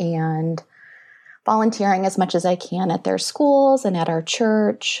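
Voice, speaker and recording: Against a quiet background, a woman with a medium pitch speaks at a fairly slow pace in a normal speaking voice. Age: 40s. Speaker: scrapbooker, stay-at-home mom. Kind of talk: interview conversation.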